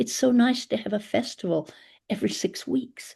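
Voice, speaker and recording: A woman's medium-pitched voice with a dark, mellow tone and vocal fry, at a moderate pace. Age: 70s. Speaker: community elder and placemaker. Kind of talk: webinar panel talk.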